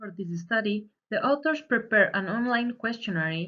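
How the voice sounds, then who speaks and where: Her pace is moderate. The woman's intonation sounds lively. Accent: Spanish. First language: Spanish. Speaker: student. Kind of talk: presentation. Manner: read from script.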